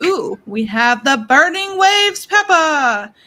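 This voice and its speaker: A woman's put-on character voice, extremely high in pitch, theatrical and raised to project, with very wide pitch swings at a fairly slow pace. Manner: theatrical, announcing.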